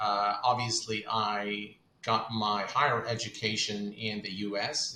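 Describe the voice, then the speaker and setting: A man with a fairly low pitch talks with fairly even intonation. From Kuwait. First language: Arabic. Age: 40s. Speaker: flight sim content creator. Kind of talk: interview.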